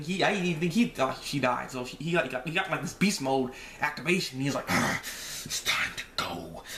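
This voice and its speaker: A man rattles off his words very quickly, his pitch rising and falling in a normal way, with clearly audible noise behind him. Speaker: anime reviewer vlogger. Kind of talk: casual review talk. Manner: halting, many repetitions.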